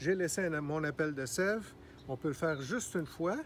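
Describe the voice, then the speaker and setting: Against light background noise, a man speaks with a high pitch and lively intonation. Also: dry sound with no echo. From Quebec. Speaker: gardener. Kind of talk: tutorial. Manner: casual, hesitant. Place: garden. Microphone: phone near.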